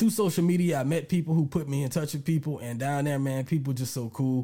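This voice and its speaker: A man with an American accent speaks at a fairly quick pace and fairly high pitch, somewhat breathy, with a dark, mellow tone. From US South, Lake Charles, Louisiana. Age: 40s. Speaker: hip-hop historian and podcast creator. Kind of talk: casual interview.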